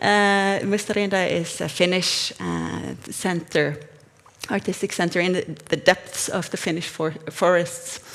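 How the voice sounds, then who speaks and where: With noticeable background noise behind her, a woman speaks at a fairly slow pace in a fairly low pitch with monotone, flat intonation. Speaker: researcher. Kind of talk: conference talk. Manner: halting.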